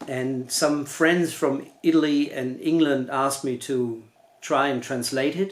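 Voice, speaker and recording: A man speaks with a German accent at a fairly high pitch. His pace is fairly slow and his intonation fairly even. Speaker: novelist. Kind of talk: reading aloud; casual chat. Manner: halting.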